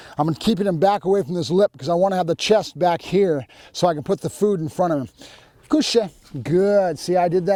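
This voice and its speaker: A dark, mellow voice speaks at a fairly quick pace with ordinary pitch variation, recorded very cleanly against a silent background with a dry, close sound and no echo. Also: man. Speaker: dog trainer. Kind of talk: tutorial. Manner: varied voice tones, dog commands.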